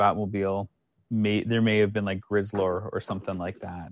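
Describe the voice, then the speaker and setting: A man with a Canadian accent and a normal speaking voice, fairly low in pitch and fairly quick, recorded dry and close with no echo over a quiet background. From Canada. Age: 30s. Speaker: documentary filmmaker. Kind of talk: casual interview chat.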